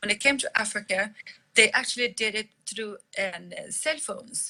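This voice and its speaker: A woman speaks at a moderate pace in a fairly high pitch. Her tone is bright and sharp, with ordinary pitch variation. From Liberia, then Sweden from age nine. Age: 50s. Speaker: company CEO, entrepreneur. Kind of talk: live Q&A. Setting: live online audio session. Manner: halting, self-correcting.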